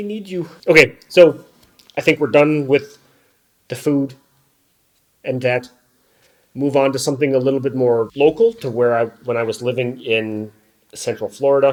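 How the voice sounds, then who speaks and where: A man's fairly high voice in an American accent, with ordinary pitch variation and long, frequent pauses. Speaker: YouTuber. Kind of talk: casual vlog monologue. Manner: slow; halting.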